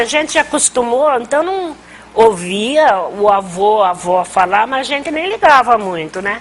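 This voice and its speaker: The voice moves through very wide pitch swings over noticeable background noise. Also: woman. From Brazil, Rio Claro, São Paulo state. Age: 60s. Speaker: community elder storyteller. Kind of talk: oral history interview. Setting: conversation circle with audience.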